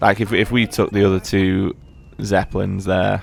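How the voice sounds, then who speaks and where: Vocal fry runs through a man's very deep, low voice. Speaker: gaming commentator. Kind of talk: gameplay commentary. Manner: casual, filler-heavy; halting, stuttering.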